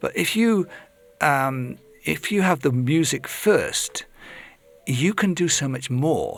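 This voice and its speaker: Speaking very slowly with long, frequent pauses, a man with an English accent has a fairly high pitch and lively intonation. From England. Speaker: lyricist and poet. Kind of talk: interview conversation. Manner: halting, many restarts.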